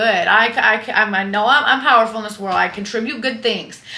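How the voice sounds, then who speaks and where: A woman with a fairly high voice speaks at a very fast pace in an animated tone. Audible room echo and noticeable background noise surround her. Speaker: lifestyle and fitness influencer. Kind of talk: casual vlog monologue. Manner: loud.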